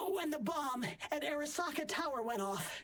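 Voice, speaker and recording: A put-on character voice comes through at a high pitch. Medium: video game. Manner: wry, conversational.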